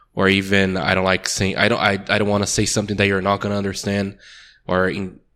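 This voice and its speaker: In a Portuguese accent, a man speaks at a very fast pace with a bright, sharp tone, fairly low pitch, monotone, flat intonation and very even loudness, in a very clean recording with a silent background. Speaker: podcast co-host. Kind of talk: casual chat.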